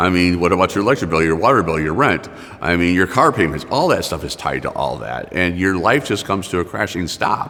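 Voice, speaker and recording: Over music in the background, a man talks with a very deep, low pitch. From Michigan. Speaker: community advocate. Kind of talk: testimony. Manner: halting.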